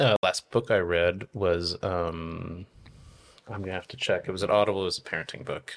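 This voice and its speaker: A man with an American accent and a very deep, low pitch speaks at a moderate pace with fairly even intonation and big swings in loudness, in a very clean recording with a silent background. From Oregon. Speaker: winemaker. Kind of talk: interview. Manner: halting, many fillers.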